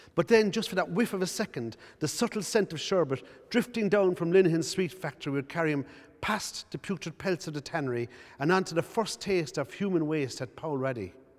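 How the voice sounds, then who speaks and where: A man with a Cork accent speaks in a high voice with lively intonation. His pace is fairly quick. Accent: Cork Irish. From Cork, Ireland. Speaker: playwright. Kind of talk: reading from his own play. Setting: arts centre.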